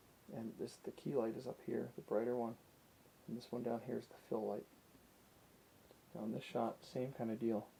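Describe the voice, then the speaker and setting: A soft-spoken man with a medium-pitched voice, a dark, mellow tone and vocal fry talks at a moderate pace. His intonation stays fairly even, broken by long, frequent pauses. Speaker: photography enthusiast. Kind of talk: ASMR photography commentary.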